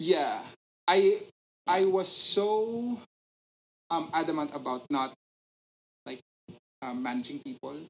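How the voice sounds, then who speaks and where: With a Filipino accent, a man speaks at a fairly slow pace in a high pitch, taking long, frequent pauses, his pitch swinging very widely and his loudness shifting a lot. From Philippines. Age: 30s. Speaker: business analyst. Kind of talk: casual chat.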